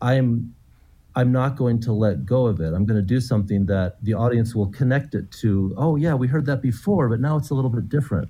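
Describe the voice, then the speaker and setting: Man with a dark, mellow, somewhat breathy tone, medium pitch, ordinary pitch variation, very even loudness and a fairly quick pace. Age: 50s. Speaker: composer. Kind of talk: interview.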